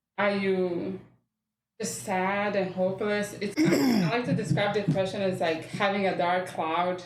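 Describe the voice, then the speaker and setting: The speaker has a Rwandan accent and fairly even intonation. The pace is fairly slow. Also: woman, medium pitch for a woman. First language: Kinyarwanda. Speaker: mental health worker. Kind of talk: podcast interview.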